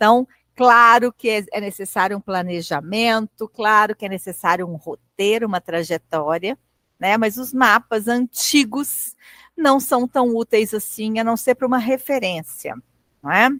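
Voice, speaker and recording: A woman with a strong Minas Gerais accent speaks in a bright, sharp tone with ordinary pitch variation, the sound dry and close with no echo. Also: fairly high pitch for a woman, fairly slow pace. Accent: strong singsong mineiro. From Minas Gerais, Brazil (Belo Horizonte). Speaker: lecturer. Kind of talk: lecture. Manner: conversational, hesitant fillers.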